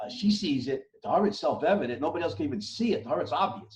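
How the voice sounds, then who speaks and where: A man speaks in a somewhat breathy voice. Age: 60s. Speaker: writer and philosopher. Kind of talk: interview discussion. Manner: halting, many repetitions and fillers.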